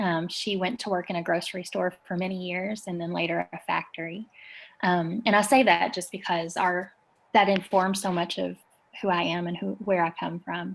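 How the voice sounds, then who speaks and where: A woman with an Appalachian accent speaks at a fairly low pitch and a moderate pace, with fairly even intonation. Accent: Appalachian Southern US. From US South, rural Eastern Kentucky. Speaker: community organizer. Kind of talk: interview.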